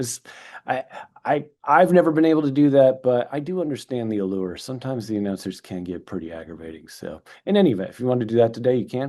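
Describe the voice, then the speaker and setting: Against a quiet background, a man with a Midwestern US accent speaks very fast at a medium pitch in a dark, mellow tone, with very wide pitch swings and big swings in loudness. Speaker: real estate attorney, webinar presenter. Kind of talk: webinar lecture. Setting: online webinar, recorded. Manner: casual, joking.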